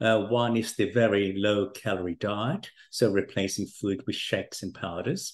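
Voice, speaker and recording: In a plain, everyday voice, the speaker goes at a moderate pace with hardly any pauses and fairly even intonation against a quiet background. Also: man, fairly low pitch for a man. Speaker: podcast host and doctor. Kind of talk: interview.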